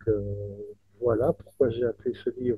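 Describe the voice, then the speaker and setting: At a moderate pace, a man speaks. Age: 60s. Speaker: author. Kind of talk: interview. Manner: halting, with many repetitions.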